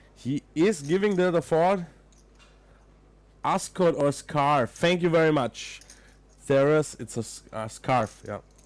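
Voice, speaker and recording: A man with an Austrian accent speaks at a fairly slow pace, his pitch fairly high. He leaves long, frequent pauses. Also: ordinary pitch variation. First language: German. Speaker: poker commentator. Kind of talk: live commentary. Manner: casual, chatty.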